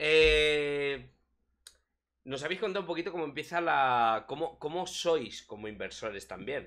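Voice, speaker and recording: A man's bright, sharp voice in a Spanish accent, fairly slow with lively intonation, over a quiet background. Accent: Peninsular Spanish. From Spain, small town. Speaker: crypto streaming show host; stream co-host interviewer. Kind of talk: casual live stream chat. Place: home room. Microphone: headset.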